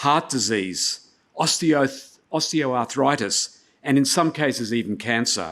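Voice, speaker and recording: A man speaks at medium pitch on a very clean recording with a silent background. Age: 70s. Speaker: conference speaker, investor. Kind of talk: keynote talk.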